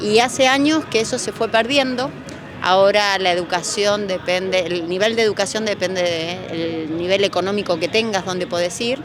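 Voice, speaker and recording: Music plays in the background as a woman speaks at a medium pitch and moderate pace. Her pitch varies in an ordinary way. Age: 60s. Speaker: retired teacher. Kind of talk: street interview. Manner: halting.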